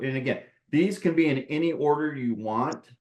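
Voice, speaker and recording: A man's voice with ordinary pitch variation and a moderate pace. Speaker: landscape lighting designer. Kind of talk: webinar lecture. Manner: animated.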